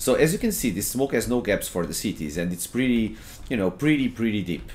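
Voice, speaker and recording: His pitch is medium, swinging very widely, with vocal fry. The man talks at a fairly quick pace. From Portugal. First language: Portuguese. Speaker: gaming streamer and coach. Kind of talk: gameplay tutorial. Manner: hesitant, many fillers and repetitions.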